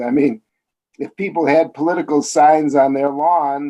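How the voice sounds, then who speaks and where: A man talks with a Chicago accent at a fairly high pitch. His tone is dark and mellow. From US Midwest, Chicago. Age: 60s. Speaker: columnist and biographer. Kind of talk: interview.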